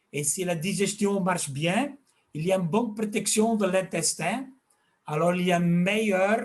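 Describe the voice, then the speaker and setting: The speaker, with a Flemish accent, talks at a fairly slow pace. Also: man. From Flanders, Belgium. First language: Dutch (speaking French). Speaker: fish health expert and fish food maker. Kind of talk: interview. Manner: halting.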